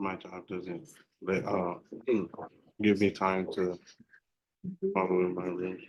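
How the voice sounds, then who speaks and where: Putting on a character voice, a man mumbles fairly slowly at a very deep, low pitch in a flat monotone, with long, frequent pauses. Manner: mumbling, hard to hear.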